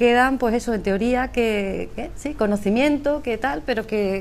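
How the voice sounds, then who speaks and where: A woman with a fairly high pitch, with audible echo from the room. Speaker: speaker at a business conference, emotional intelligence trainer. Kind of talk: conference talk. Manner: fast.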